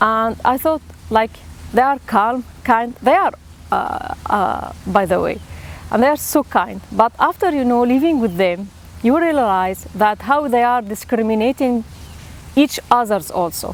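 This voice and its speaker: A woman's fairly high, lively voice with an Arabic accent at a fairly slow pace. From Syria. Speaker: theatre teacher and actor. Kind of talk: personal storytelling interview. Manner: halting, with frequent fillers and repeats.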